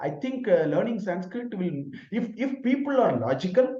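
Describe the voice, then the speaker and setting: Here a man speaks with a Tamil accent at a moderate pace. His tone is dark and mellow. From Tamil Nadu, India (village). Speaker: professor. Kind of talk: Q&A answer in online lecture. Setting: online video session.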